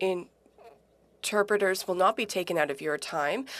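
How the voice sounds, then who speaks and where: A woman's medium-pitched voice at a very slow pace, on a very clean recording with a silent background. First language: Punjabi. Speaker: politician questioning a witness. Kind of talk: parliamentary committee questioning.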